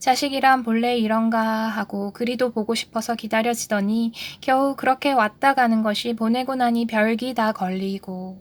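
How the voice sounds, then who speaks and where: A woman's fairly high-pitched voice, an ordinary speaking voice at a moderate pace with fairly even intonation and hardly any pauses, in a very clean recording against a silent background. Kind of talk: book reading aloud.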